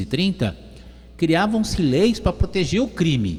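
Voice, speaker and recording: A man talks at a moderate pace with very wide pitch swings. His voice is somewhat breathy. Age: 60s. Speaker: radio talk show host. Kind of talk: radio talk show.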